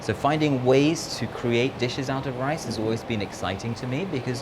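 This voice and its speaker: Noticeable background noise and audible room echo around a man speaking with ordinary pitch variation. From mixed: UK, Philippines and Spain. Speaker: restaurant owner and chef. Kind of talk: interview.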